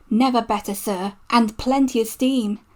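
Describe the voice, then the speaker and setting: Moving at a moderate pace, the speaker puts on a character voice pitched fairly high. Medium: read story. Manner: warm, respectful to his boss.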